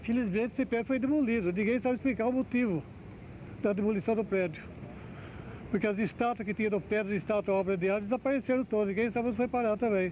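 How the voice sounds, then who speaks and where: A man with a high pitch talks at a very fast pace, his loudness very even and his pitch varying in an ordinary way. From Brazil, São José dos Campos (São Paulo state). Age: 80s+. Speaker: elderly local resident giving oral history. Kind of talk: oral history testimony. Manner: halting, with false starts.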